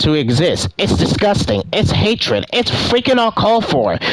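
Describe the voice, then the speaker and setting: A high-pitched male voice at a moderate pace, with noticeable background noise. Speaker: gaming youtuber. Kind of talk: commentary video. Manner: stutters, halting.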